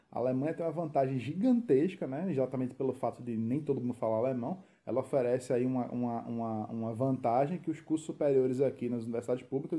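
Speaking in a strong Recife accent, a man talks at a very fast pace with a medium pitch, ordinary pitch variation and a dark, mellow tone. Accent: strong Recife accent kept. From Recife, Brazil. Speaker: expat content creator. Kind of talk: casual chat.

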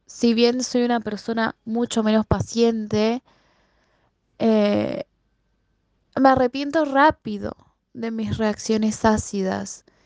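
A woman with a fairly high pitch and a dark, mellow tone speaks at a very slow pace. The sound is dry and close, with no echo. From Buenos Aires, Argentina. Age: 20s. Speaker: secondary school language and literature teacher. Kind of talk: recorded personal answers to interview questions.

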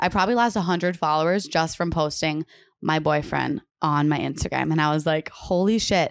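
The recording is very clean, its background silent, as a woman talks with normal pitch movement. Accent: American. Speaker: podcast co-host. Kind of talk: casual chat. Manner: fast.

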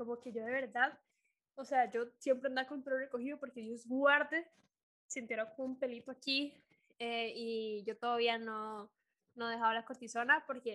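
With a Costa Rican accent, a woman speaks at a moderate pace in a high pitch and a bright, sharp tone, her loudness swinging widely. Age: 20s. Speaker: podcast host. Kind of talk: casual chat. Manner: animated.

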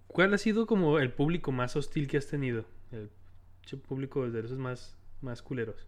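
A plain, everyday voice of a man, fairly high-pitched, at a moderate pace with lively intonation. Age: 20s. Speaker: podcast host. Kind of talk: casual interview. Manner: frequent fillers and laughter.

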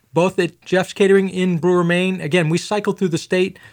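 Speaking at a fairly quick pace, a man with a high pitch and fairly even intonation comes through in a very clean recording with a silent background. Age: 40s. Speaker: financial advisor. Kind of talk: casual chat. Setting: studio.

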